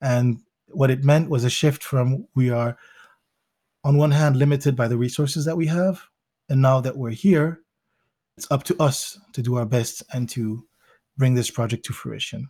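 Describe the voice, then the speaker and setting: A man with an American accent speaks at a moderate pace in a medium pitch, his tone dark and mellow and somewhat breathy. His pitch varies in an ordinary way, broken by long, frequent pauses. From Belgium, with childhood in Zimbabwe and the US; Congolese parents. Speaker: MBA student and entrepreneur. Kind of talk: interview.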